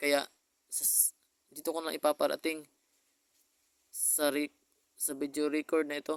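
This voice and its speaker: A man speaks at a fairly slow pace with a fairly high pitch and long, frequent pauses. His intonation is monotone and flat, and the sound is dry and close with no echo. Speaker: vlogger. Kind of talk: personal video message. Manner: halting.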